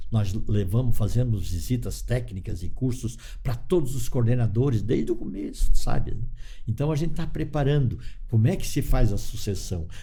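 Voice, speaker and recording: Audible room echo surrounds a man with a dark, mellow tone, medium pitch, vocal fry and lively intonation, speaking at a moderate pace. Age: 70s. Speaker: cooperative leader. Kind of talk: interview. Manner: halting.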